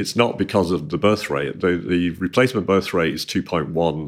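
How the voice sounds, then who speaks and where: On a very clean recording with a silent background, a man with a very deep, low pitch and vocal fry talks at a moderate pace. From Manchester, northern England. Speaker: retail executive. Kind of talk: interview.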